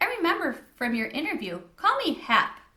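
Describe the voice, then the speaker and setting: In a put-on, squeaky character voice, a woman speaks at an extremely high pitch and moderate pace with very wide pitch swings. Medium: read story. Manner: hearty.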